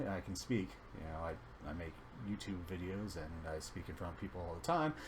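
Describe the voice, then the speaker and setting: A man's very deep, low voice with lively intonation, a fairly slow pace and audible room echo. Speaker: gaming YouTuber. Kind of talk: casual video game reaction commentary. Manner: halting, with self-noted stutters and fillers.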